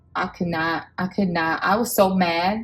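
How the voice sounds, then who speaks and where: Music in the background beneath a woman's voice at medium pitch. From Samoa. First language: Samoan. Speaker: budgeting vlogger. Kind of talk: casual chat. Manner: animated.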